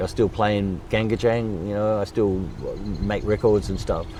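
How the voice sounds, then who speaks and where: A man with an Australian accent at fairly low pitch, moderate pace and ordinary pitch variation, over noticeable background noise. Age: 70s. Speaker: drummer and charity founder. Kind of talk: interview.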